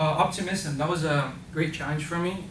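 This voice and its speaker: A man's fairly high voice with monotone, flat intonation at a moderate pace, with audible room echo. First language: not English. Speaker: volunteer program participant. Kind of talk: presentation. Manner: halting, many fillers.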